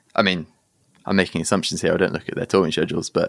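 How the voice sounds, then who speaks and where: Recorded very cleanly against a silent background, a man with a southern English accent sounds dry and close with no echo. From southern England. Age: 30s. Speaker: rock band vocalist. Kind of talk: casual interview.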